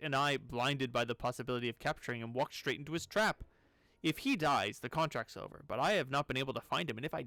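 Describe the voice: Ordinary pitch variation in plain reading aloud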